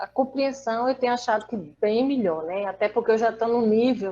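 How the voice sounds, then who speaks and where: This is an ordinary speaking voice with ordinary pitch variation, moving at a moderate pace. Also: woman. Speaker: person living with aphasia. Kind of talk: casual chat.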